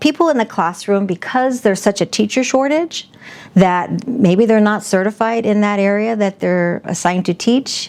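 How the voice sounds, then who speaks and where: With an American accent, a woman talks in an unremarkable speaking voice at medium pitch, keeping a moderate pace and ordinary pitch variation. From South Phoenix, Arizona. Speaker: educator and political candidate. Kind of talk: interview.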